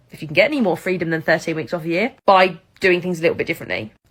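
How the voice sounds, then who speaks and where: A woman with an English accent, fairly low-pitched, at a very fast pace. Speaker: ex-teacher and supply teacher, coach. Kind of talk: opinion monologue.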